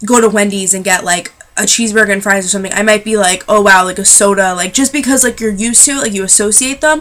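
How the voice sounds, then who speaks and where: Very fast delivery in a bright, sharp tone, with ordinary pitch variation. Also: woman. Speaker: vlogger. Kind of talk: casual chat. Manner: animated.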